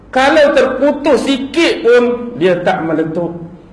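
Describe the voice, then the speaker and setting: Over noticeable background noise, a man talks in an extremely high pitch with lively intonation. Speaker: Islamic preacher (ustaz). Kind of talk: religious lecture (ceramah).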